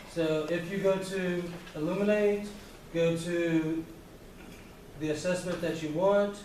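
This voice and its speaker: With noticeable background noise and audible room echo, a man with a high voice talks fairly slowly in a flat monotone, pausing long and often. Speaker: math teacher leading staff meeting. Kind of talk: staff meeting presentation.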